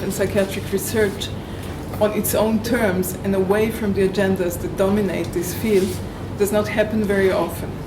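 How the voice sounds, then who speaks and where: Noticeable background noise and audible room echo surround the recording. A woman talks at a moderate pace in a medium-pitched, monotone, flat voice. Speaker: survivor researcher and activist. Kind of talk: prepared talk. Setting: room with live audience. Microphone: no microphone.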